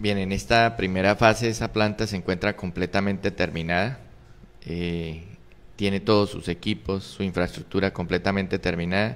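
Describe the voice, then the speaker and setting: Intonation is fairly even and the pace moderate. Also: man, fairly low pitch for a man. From Colombia, Arauca department; Colombia. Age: 40s. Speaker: political candidate; candidate. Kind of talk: interview; interview answer. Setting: studio. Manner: halting. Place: studio. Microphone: studio mic.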